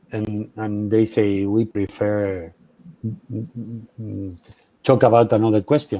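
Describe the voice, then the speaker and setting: A man with a Spanish accent speaks at a very slow pace in a dark, mellow tone. His pitch is fairly low, and his intonation is fairly even. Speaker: journalist and memory activist. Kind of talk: Q&A after a keynote talk. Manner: halting, many fillers.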